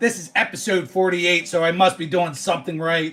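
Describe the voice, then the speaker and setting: A man speaks loudly in an American accent. His pitch is high. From Philadelphia area, US. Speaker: sports card livestreamer. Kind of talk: casual live stream chat. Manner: loud and boisterous.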